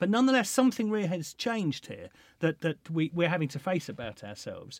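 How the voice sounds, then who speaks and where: Very fast and with lively intonation, the speaker talks with an English accent. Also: man, very clean recording, silent background. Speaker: podcast host. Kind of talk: interview conversation. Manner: hesitant, many fillers and restarts.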